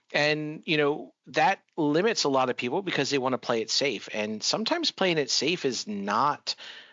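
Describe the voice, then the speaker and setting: A man with an unremarkable speaking voice and an American accent talks at a fairly high pitch and moderate pace, with lively intonation and hardly any pauses. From Florida. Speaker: podcast host. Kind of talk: interview conversation.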